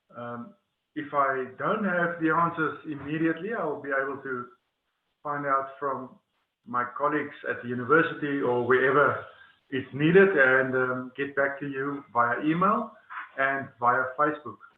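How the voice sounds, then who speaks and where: A man with an Afrikaans accent, fairly high pitch and ordinary pitch variation. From South Africa, Northern Cape. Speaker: webinar presenter. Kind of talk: webinar presentation. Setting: online webinar. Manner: slow; hesitant, many fillers and repetitions.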